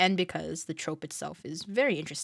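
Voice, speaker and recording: A woman speaks in a fairly low pitch with vocal fry. The sound is dry and close with no echo, and the recording is very clean over a silent background. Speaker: YouTube voice actor. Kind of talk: Q&A video, casual chat. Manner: casual, halting with fillers.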